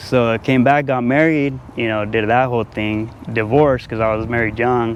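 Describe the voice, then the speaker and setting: Over noticeable background noise, a man with a medium pitch speaks at a moderate pace with fairly even intonation. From Albuquerque, New Mexico. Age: 30s. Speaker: homeless man. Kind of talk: street interview.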